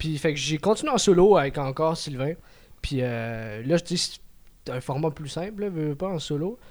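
A man with an ordinary speaking voice talks at a moderate pace with ordinary pitch variation, on a very clean recording with a silent background. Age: 20s. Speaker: amateur comedian. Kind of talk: casual chat.

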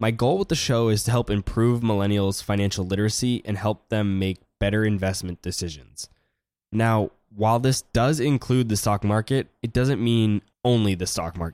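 A man speaks at a moderate pace in an ordinary speaking voice, his fairly low pitch moving with ordinary variation, on a very clean recording with a silent background and a dry, close sound with no echo. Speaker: investor and podcast host. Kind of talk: interview.

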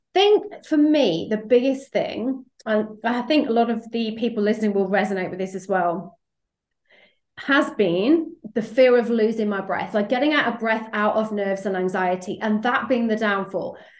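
A woman has a normal speaking voice, fairly high in pitch. She talks at a moderate pace with ordinary pitch variation. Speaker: sales coach and podcast host. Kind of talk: podcast interview, intro and outro.

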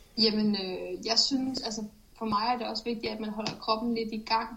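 The woman's voice sits at a fairly high pitch. Noticeable background noise runs beneath it. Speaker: elite runner. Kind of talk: pre-recorded interview answers. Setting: remote recording from training camp. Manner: concise.

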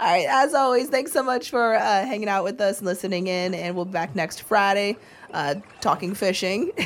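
Amid noticeable background noise, a woman with an American accent speaks at a medium pitch and a fairly quick pace, her intonation lively. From Florida. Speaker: podcast co-host, angler. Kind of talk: casual chat.

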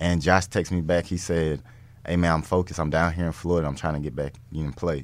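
A man with an American accent speaks at a very fast pace. His very deep, low voice keeps a fairly even intonation. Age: 20s. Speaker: NFL cornerback. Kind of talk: casual interview.

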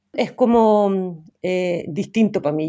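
A woman speaks with a Chilean accent. Her tone is dark and mellow. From Chile, Santiago. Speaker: TV program creator and director. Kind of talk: interview conversation. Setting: remote call from a forest.

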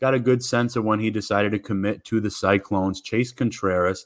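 A man with a plain, everyday voice, fairly low pitch and a moderate pace, on a very clean recording with a silent background. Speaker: college football site reporter. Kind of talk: casual interview chat.

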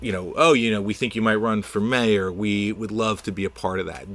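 Here is a man with a normal speaking voice and an American accent. He talks fairly quickly at a fairly low pitch. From New Jersey suburbs. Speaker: city councilman. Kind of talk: interview. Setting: studio.

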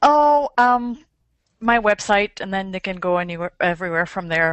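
A woman is speaking. She has a French accent. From Normandy, France. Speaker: street photographer and workshop leader. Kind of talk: casual chat.

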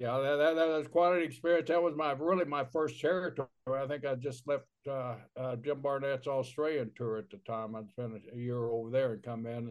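This man has an ordinary speaking voice, fairly high in pitch, with ordinary pitch variation and a fairly quick pace. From Oklahoma. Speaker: former pro wrestler, podcast co-host. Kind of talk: casual chat.

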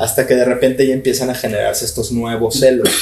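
With a Mexican accent, this man talks at medium pitch in a dark, mellow tone. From Mexico (León, Guanajuato). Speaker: tattoo artist and studio owner. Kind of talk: casual interview chat.

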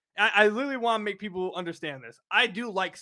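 Loud and animated in tone, the voice races at a very fast pace with ordinary pitch variation. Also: man. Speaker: sports podcast host. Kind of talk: casual chat.

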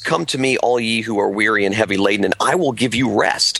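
A man is speaking. Background noise is noticeable. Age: 40s. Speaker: pastor and author. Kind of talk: interview. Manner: many fillers (uh, um).

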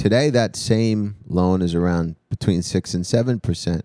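A man with a New York accent and a dark, mellow tone speaks at a moderate pace with ordinary pitch variation, dry and close with no echo on a very clean recording with a silent background. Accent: New York area. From New Jersey / New York area. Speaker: comedian. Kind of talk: casual chat.

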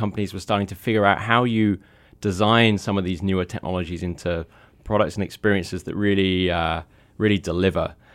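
In a very clean recording with a silent background, a man with an unremarkable speaking voice talks at a moderate pace. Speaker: tech journalist. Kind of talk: casual chat.

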